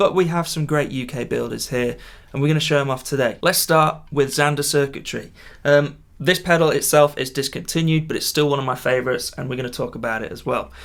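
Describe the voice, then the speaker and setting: A man with a British accent, fairly high in pitch, at a very fast pace. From UK. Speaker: guitar gear youtuber. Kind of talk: product showcase. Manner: casual, enthusiastic.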